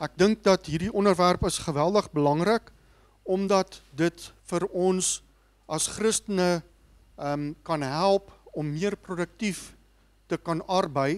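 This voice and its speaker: A man with a South African accent and a high voice, fairly slow and fairly even in intonation, with long, frequent pauses. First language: Afrikaans. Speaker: seminar organizer and moderator. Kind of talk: speech introduction. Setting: stage with audience. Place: hall. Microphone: handheld.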